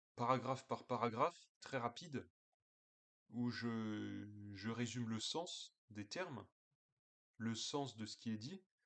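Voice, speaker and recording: A man talks very slowly at a medium pitch, leaving long, frequent pauses and varying his pitch in an ordinary way. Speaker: political commentator. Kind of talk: casual video monologue. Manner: hesitant, many fillers.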